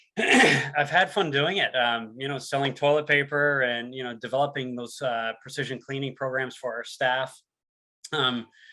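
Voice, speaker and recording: In a Newfoundland accent, a man talks at medium pitch and a moderate pace with fairly even intonation. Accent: Newfoundland accent, noticeable. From Newfoundland and Labrador, Canada. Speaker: sales and product presenter. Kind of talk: webinar presentation. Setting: online webinar.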